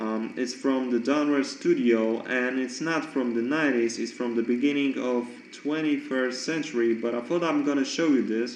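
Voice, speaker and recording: A man with a non-native accent talks at a moderate pace and medium pitch, with fairly even intonation and hardly any pauses. Audible room echo and noticeable background noise are present. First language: not English. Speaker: card collector YouTuber. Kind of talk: casual show-and-tell monologue. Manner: halting, many fillers.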